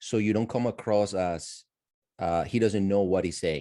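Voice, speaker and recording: A dark, mellow tone with ordinary pitch variation and a non-native accent. The background is quiet. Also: man. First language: not English. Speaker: audience member asking a question. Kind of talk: Q&A discussion. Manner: animated.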